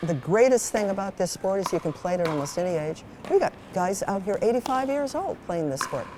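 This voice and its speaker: A woman speaks in an animated tone with lively intonation. Noticeable background noise runs behind her. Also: medium pitch for a woman, fairly quick pace. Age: 70s. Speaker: pickleball teacher. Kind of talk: interview.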